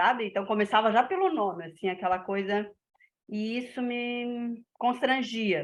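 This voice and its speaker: Pitch moves in an ordinary way. The delivery is fairly slow. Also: woman, fairly high pitch for a woman. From northern Santa Catarina, Brazil. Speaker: teacher. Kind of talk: personal anecdote in class.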